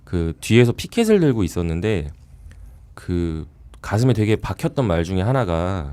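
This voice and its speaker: A man speaks in a very deep, low pitch with a dark, mellow tone. His pace is fairly slow and his intonation lively. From South Korea, Gangwon (Chuncheon). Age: 30s. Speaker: volunteer activist. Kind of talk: podcast conversation, personal testimony.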